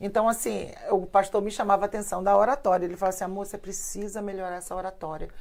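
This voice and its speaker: A woman's medium-pitched voice at a very fast pace with fairly even intonation. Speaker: pastor. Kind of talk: casual chat. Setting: live stream.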